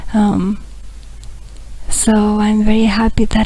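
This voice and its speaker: A woman speaks quietly in a fairly high, somewhat breathy voice with a dark, mellow tone. Her intonation is flat and monotone, and room echo is audible. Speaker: spiritual blogger. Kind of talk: video diary update. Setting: monastery, laptop recording. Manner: quiet, hushed; halting, many fillers.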